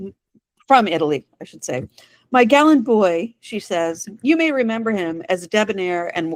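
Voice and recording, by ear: Someone is reading aloud in a natural voice. The intonation is lively, and the background is quiet.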